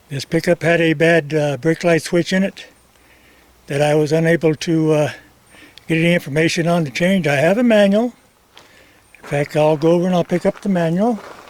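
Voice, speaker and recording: With noticeable background noise behind him, a man with a high pitch talks at a fairly quick pace broken by long, frequent pauses. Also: ordinary pitch variation. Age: 80s+. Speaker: retired auto mechanic. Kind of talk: DIY repair tutorial to camera.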